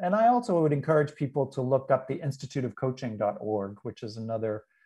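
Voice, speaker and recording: Against a quiet background, a man with a dark, mellow tone speaks at a fairly quick pace. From New England. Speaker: leadership expert and author. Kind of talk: interview conversation.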